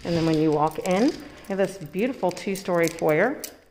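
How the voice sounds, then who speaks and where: Words come at a fairly quick speed. Background noise is noticeable throughout. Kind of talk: home tour narration. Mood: upbeat, enthusiastic. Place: home room. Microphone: phone near.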